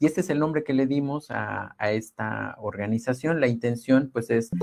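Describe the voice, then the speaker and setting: A man speaks at a moderate pace with a dark, mellow tone. His pitch varies in an ordinary way. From Oaxaca, Sierra Mixe, Mexico. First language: Ayöök (Mixe) (speaking Spanish). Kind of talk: webinar talk. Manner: halting, many repetitions.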